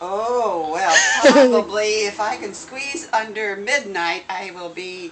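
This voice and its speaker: A woman speaks very slowly at a medium pitch with lively intonation and hardly any pauses, over noticeable background noise. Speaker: nun and triathlete. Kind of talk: interview answer. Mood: light, self-deprecating humor. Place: home room. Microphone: phone near.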